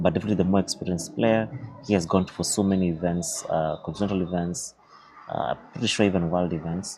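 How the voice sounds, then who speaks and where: Over noticeable background noise, a man speaks quietly in a very deep, low voice with ordinary pitch variation. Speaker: chess commentator and streamer. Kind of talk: live game commentary and interview. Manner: quiet, low voice.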